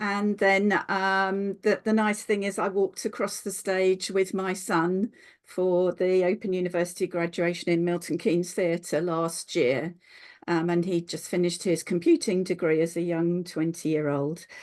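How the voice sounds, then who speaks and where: A woman speaks in a normal speaking voice of medium pitch at a moderate pace. Her intonation is fairly even and the background quiet. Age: 60s. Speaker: later-life doctoral researcher. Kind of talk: online seminar talk.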